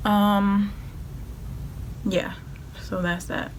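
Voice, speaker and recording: A woman's medium-pitched, monotone, flat delivery amid noticeable background noise. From Georgia. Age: young. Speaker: college student. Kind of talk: casual talk to camera.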